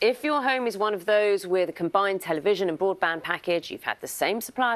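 Using a British accent, a woman speaks at a moderate pace and a medium pitch, her pitch swinging very widely. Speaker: breakfast TV news presenter. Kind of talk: TV news interview. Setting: studio. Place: studio.

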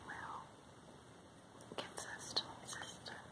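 Someone whispers at a very slow pace. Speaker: haul unboxer. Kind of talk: ASMR unboxing. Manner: whispered. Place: home room. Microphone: phone near.

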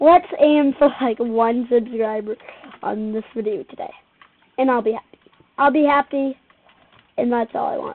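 This woman has a high-pitched voice with ordinary pitch variation. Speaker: gamer narrating own play. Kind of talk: casual gameplay commentary.

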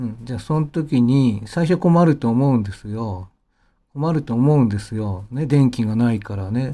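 The man's dark, mellow tone sits at a medium pitch with ordinary pitch variation. He talks at a moderate pace. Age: 50s. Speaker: pianist and channel host. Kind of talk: casual monologue. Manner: rambling, many fillers.

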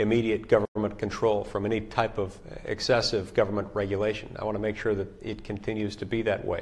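A man talks at a very fast pace with hardly any pauses. His fairly low pitch stays monotone, with flat intonation. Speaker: politician answering constituents. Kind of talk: interview answer. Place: office.

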